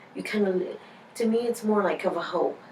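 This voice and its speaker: Fairly even intonation and a fairly slow pace from a woman, with audible room echo and noticeable noise in the background. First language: Spanish. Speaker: interviewee. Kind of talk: interview. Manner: halting, many fillers.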